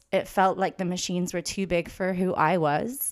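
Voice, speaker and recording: On a very clean recording with a silent background, a woman with an English accent speaks at a moderate pace and medium pitch. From London, England. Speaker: painter and photographer. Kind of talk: casual interview. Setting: home art studio.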